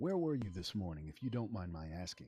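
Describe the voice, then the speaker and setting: Doing a put-on character voice, a man goes very deep and low, talking at a fairly quick pace with lively intonation. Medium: video game. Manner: clipped, questioning.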